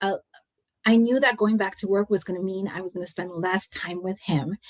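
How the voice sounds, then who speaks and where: Speaking with a Californian accent, a woman has a medium pitch. Her intonation stays fairly even. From San Francisco Bay Area, California. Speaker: leadership coach and consultant. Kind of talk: interview answer.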